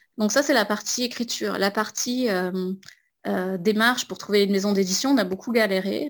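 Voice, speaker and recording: Speaking at a moderate pace, a woman with an ordinary speaking voice keeps a medium pitch and ordinary pitch variation. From southwest France, near Pau. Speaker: illustrator. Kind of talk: interview monologue.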